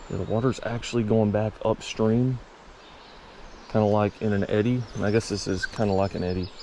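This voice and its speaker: Over noticeable background noise, a man with a fairly low pitch and relaxed tone talks at a fairly quick pace in a monotone, flat intonation. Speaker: fishing video creator. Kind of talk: casual outdoor vlog narration. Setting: outdoors by a river. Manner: relaxed, casual.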